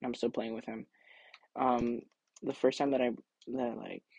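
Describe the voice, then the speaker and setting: Recorded with a dry, close sound and no echo, a man with an American accent speaks fairly quickly at a medium pitch in a monotone, flat intonation. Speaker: podcaster. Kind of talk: casual monologue. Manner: halting.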